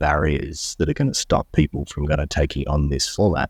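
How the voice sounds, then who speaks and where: Speaking at a moderate pace with an Australian accent, a man has a very deep, low pitch, recorded dry and close with no echo on a very clean track with a silent background. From Australia, Melbourne. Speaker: entrepreneur, company co-founder. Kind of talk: interview. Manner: casual with frequent fillers.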